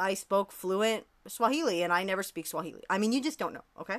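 A woman speaks in a passionate tone with lively intonation, captured in a very clean recording against a silent background. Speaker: podcast host. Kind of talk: casual unscripted solo podcast chat. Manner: fast talker; rambling, passionate.

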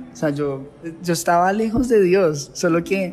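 Noticeable background noise surrounds a man speaking at a fairly slow pace. His voice is high-pitched with ordinary pitch variation. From Colombia, near Bogotá. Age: 30s. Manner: passionate, intense, emotional.

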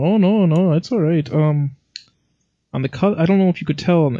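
Very fast and dark, mellow in tone, a man's voice carries ordinary pitch variation. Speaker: podcast co-host. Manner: joking, casual.

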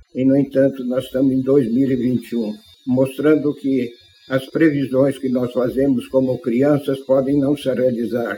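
A man speaks fairly slowly at medium pitch in a monotone, flat intonation. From Brazil, Bauru (São Paulo state). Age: 80s+. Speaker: retired aeronautical engineer and company founder. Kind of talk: interview excerpt. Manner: halting, repeats words.

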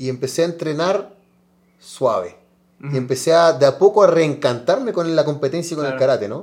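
Fairly high in pitch, a man uses an ordinary speaking voice at a fairly quick pace with ordinary pitch variation. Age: 30s. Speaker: karate athlete. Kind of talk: interview.

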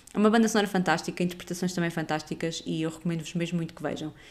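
This woman speaks in a European Portuguese accent at a fairly low pitch with fairly even intonation. The recording is very clean, with a silent background. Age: 30s. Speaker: podcast host, film reviewer. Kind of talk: casual review monologue.

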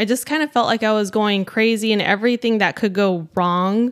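A woman with an unremarkable speaking voice at a moderate pace, ordinary pitch variation, and a very clean recording with a silent background. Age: 30s. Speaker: energy healer, host's wife. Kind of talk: casual chat.

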